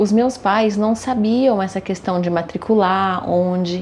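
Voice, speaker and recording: A woman speaks at a medium pitch and a fairly slow pace. Noticeable background noise is present. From Brazil, São Paulo (Santo Amaro). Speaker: accountant and interpreter. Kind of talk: interview.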